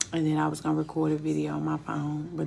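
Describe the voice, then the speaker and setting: Against noticeable background noise and audible room echo, a woman speaks in a calm tone at a moderate pace. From US South, Memphis, Tennessee. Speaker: spiritual life coach. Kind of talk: live stream monologue. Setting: at home in kitchen. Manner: low, calm speaking.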